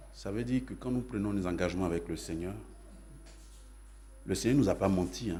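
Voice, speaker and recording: A man talks in a very deep, low pitch with ordinary pitch variation. His dark, mellow tone carries vocal fry amid audible room echo. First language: Yacouba (Dan) (speaking French). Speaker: pastor. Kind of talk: sermon.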